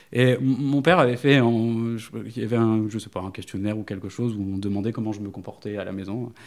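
On a very clean recording with a silent background, a medium-pitched man speaks fairly quickly, with ordinary pitch variation and big swings in loudness. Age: 30s. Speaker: dog trainer. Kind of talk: interview. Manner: halting.

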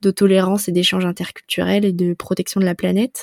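The delivery is moderately paced. Recorded close and dry, it has no echo at all. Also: woman. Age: 20s. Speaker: travel and spirituality podcaster. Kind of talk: casual interview. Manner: hesitant, many fillers.

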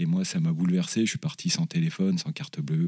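Moderately paced speech from a man, dry and close with no echo. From Paris region, France. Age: 40s. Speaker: charity director. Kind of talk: interview testimony.

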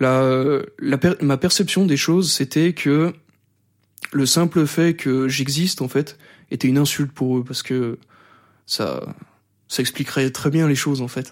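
A man's fairly high voice with ordinary pitch variation, at a fairly slow pace with long, frequent pauses, on a very clean recording with a silent background. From France, Savoie (rural). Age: 20s. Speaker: radio host, bullying survivor. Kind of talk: testimony interview. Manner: halting, many fillers and repetitions; articulate.

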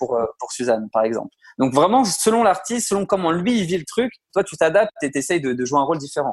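A high-pitched male voice with very wide pitch swings. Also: fairly quick pace. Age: 30s. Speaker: music manager and producer. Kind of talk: interview. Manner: hesitant, many fillers.

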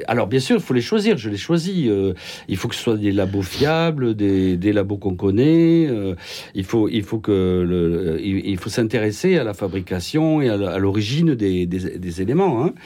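Speaking at a fairly slow pace, a man uses a fairly low pitch, a dark, mellow tone and lively intonation. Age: 70s. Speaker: general practitioner. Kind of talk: radio panel discussion.

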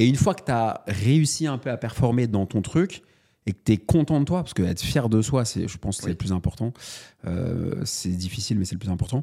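Very wide pitch swings from a man at medium pitch, dark and mellow in tone, fairly quick, in a very clean recording with a silent background. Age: 30s. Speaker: entrepreneur and author, podcast co-host. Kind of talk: casual chat.

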